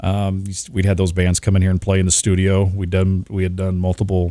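Very deep and low, a man's voice with a Midwestern US accent moves at a fairly quick pace on a very clean recording with a silent background. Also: dry, close sound with no echo. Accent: US Midwest. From Nebraska. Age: 40s. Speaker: radio DJ. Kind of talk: casual chat.

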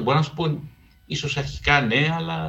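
A man speaks in a fairly high pitch, with vocal fry. His pitch swings very widely. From Greece, Piraeus. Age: 50s. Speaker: radio documentary producer and researcher. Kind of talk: interview conversation.

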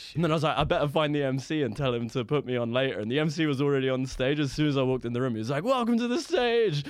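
A man's animated, fairly high voice with lively intonation, at a very fast pace with hardly any pauses, over noticeable background noise. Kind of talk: stand-up comedy storytelling. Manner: profane, riffing, self-mocking.

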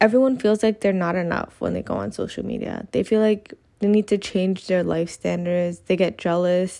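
On a very clean recording with a silent background, a woman speaks at a moderate pace and medium pitch, her dark, mellow tone carrying fairly even intonation. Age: 20s. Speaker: podcast host and university student. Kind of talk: solo podcast monologue.

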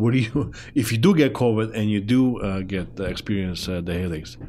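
With a non-native accent, a man talks at a fairly quick pace in a fairly low pitch and a dark, mellow tone. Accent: foreign-accented English. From immigrant to Canada. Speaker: show host. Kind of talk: casual interview.

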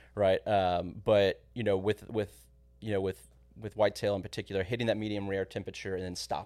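A man speaks at a fairly quick pace with a Texan accent, on a very clean recording with a silent background. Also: fairly low pitch for a man, fairly even intonation. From Texas (San Antonio). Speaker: hunting program coordinator. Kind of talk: podcast interview. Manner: hesitant with fillers.

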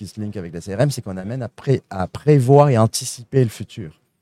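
On a very clean recording with a silent background and a dry, close sound with no echo, a man speaks in a dark, mellow tone. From France. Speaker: sales consulting firm founder. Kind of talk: live interview at a trade show. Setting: trade show at a convention centre.

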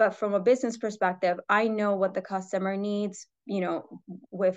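A woman's ordinary speaking voice, fairly quick and with fairly even intonation, over a quiet background. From New York City. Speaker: footwear product development executive. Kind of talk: interview. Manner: many fillers.

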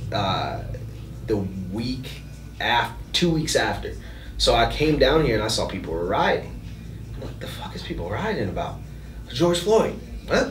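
A man with an American accent talks at a moderate pace, leaving long, frequent pauses. Music plays in the background, and there is audible room echo. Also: big swings in loudness. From US Midwest, south Minneapolis. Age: 30s. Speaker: podcast guest. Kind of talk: casual chat.

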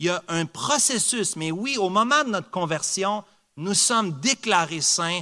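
Speaking at a fairly slow pace, a man uses lively intonation. The recording is very clean with a silent background and a dry, close sound with no echo. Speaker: preacher. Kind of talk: sermon. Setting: church. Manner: earnest, emphatic preaching with repetition for emphasis.

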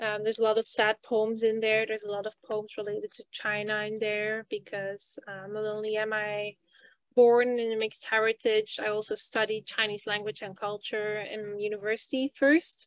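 Speaking with a Flemish accent at a moderate pace, a woman uses a fairly high pitch with monotone, flat intonation and big swings in loudness, captured in a dry, close sound with no echo on a very clean recording with a silent background. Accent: Belgian (Flemish) English. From Belgium. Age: 20s. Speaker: PhD student and poet. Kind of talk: interview.

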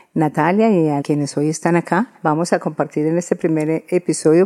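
A woman's fairly low voice with a dark, mellow tone and fairly even intonation. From Colombia, Antioquia. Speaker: historian and feminist activist. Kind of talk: interview. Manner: halting, repeats words.

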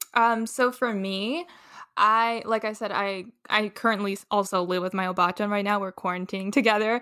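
In a very clean recording with a silent background, a woman with an American accent talks at a moderate pace, her medium-pitched voice bright and sharp and her intonation fairly even. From Chicago. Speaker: former exchange student. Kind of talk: casual chat. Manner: halting.

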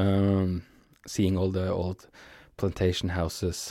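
A man speaks at a very slow pace with a Norwegian accent, his pitch very deep and low and his tone dark and mellow. The recording is very clean, with a silent background. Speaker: podcaster. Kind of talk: casual solo monologue. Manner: halting, many fillers.

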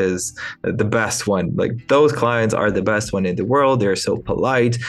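Speaking with a Ukrainian accent and ordinary pitch variation, a man is heard with audible room echo. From Ukraine. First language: Ukrainian or Russian. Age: 20s. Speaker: entrepreneur. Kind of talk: interview. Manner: hesitant with fillers.

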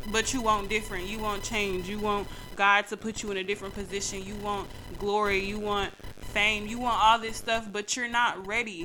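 At a moderate pace, a voice with monotone, flat intonation speaks over noticeable background noise. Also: woman, medium pitch for a woman. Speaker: podcast host. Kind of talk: angry rant; faith-based motivational talk. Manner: heated, punchy, repetitive hammering, insistent and loud.

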